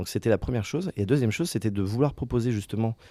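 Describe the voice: Fast and fairly low, a man's dark, mellow tone moves with ordinary pitch variation.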